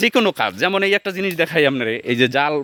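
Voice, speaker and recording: A man's high-pitched voice with a bright, sharp tone and lively intonation, on a very clean recording with a silent background and a dry, close sound with no echo. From Barishal region, Bangladesh (Barguna). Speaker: vlogger. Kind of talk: casual vlog talk. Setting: outdoors in a betel nut orchard.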